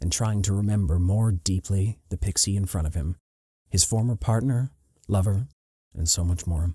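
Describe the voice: A quiet background behind plain reading aloud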